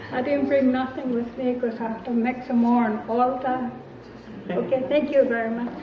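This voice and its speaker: At a moderate pace, a woman speaks in a high, monotone, flat voice, with audible room echo and noticeable background noise. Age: 60s. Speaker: elder speaker. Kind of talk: testimony.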